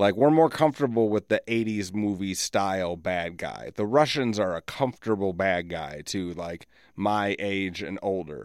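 A man talks at a moderate pace with hardly any pauses, using lively intonation and a fairly low pitch, on a very clean recording with a silent background. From US Midwest, rural southeastern South Dakota. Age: 40s. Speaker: podcast host. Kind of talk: casual monologue. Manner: animated.

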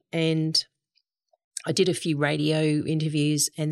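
A woman with an Australian accent speaks at a very deep, low pitch. The recording is very clean with a silent background and a dry, close sound with no echo. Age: 60s. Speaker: goat farmer and cheesemaker. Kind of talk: casual interview.

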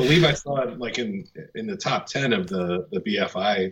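A man speaks with lively, bouncing intonation. Background noise is clearly audible behind him. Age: 30s. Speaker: film podcast co-host. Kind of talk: casual chat.

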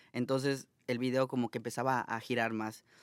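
This is a man with an unremarkable speaking voice. The sound is dry and close with no echo, on a very clean recording with a silent background. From Mexico, Mérida, Yucatán. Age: 30s. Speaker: social media content creator. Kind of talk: casual interview. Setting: studio.

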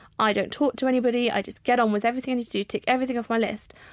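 A woman with an English accent speaks at a high pitch with ordinary pitch variation. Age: 30s. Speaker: vlogger and author. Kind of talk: casual chat.

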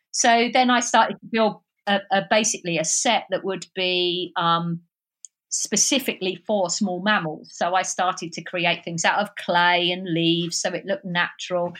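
Speaking at a moderate pace, a woman has a slight southeast London accent. The recording is very clean, the background silent. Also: medium pitch for a woman, ordinary pitch variation. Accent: slight southeast London twang. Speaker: wildlife filmmaker and live streamer. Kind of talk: casual interview chat.

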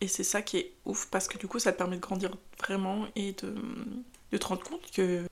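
A woman at a medium pitch speaks at a moderate pace in a monotone, flat intonation, leaving long, frequent pauses. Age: 20s. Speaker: podcast host. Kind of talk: casual monologue. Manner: hesitant, many fillers.

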